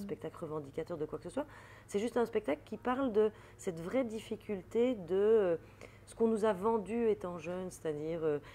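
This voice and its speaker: A woman speaks at a moderate pace with lively intonation, a dark, mellow tone, medium pitch, and big swings in loudness. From Belgium. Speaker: comedian, actress and author. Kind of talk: interview answer.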